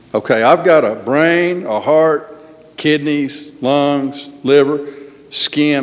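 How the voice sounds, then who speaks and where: A man with a fairly high voice speaks very slowly and in a fairly even tone, with noticeable background noise behind him. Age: 60s. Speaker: AA speaker. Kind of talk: recovery talk to a meeting. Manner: casual, conversational.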